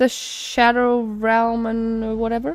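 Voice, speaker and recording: A woman with a non-native accent speaks very slowly at a fairly high pitch. The sound is dry and close, with no echo. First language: not English. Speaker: gaming streamer. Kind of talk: live reaction commentary. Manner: halting, many fillers and restarts.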